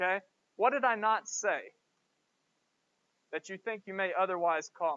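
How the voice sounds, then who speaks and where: A man with a high pitch and a Southern US accent uses a raised, projected voice with a bright, sharp tone. He keeps a moderate pace and ordinary pitch variation in a dry, close sound with no echo. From US South, Georgia. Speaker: professor. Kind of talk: lecture. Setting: classroom.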